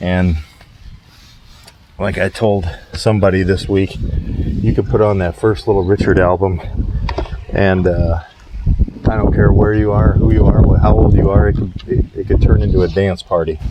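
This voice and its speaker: Over noticeable background noise, a man with a very deep, low pitch speaks quietly at a moderate pace, with ordinary pitch variation and long, frequent pauses. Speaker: window cleaner and rock music vlogger. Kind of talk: casual vlog monologue. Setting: outdoors at a client's house while working. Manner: quiet, hushed; hesitant, many fillers.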